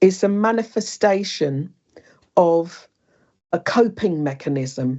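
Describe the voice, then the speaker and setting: A woman's fairly low voice with a British accent and lively intonation, very slow and broken by long, frequent pauses. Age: 60s. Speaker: bereaved mother and speaker. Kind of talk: personal testimony in interview. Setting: online wellbeing session.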